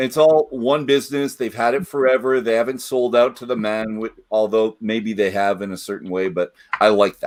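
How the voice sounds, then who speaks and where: A man with a Canadian accent speaks in a normal speaking voice. His medium pitch shows ordinary variation at a moderate pace. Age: 60s. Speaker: web show host. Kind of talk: casual chat.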